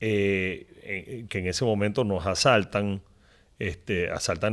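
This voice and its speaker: Recorded very cleanly with a silent background, a man speaks at a fairly low pitch. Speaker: business executive. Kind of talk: interview. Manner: halting.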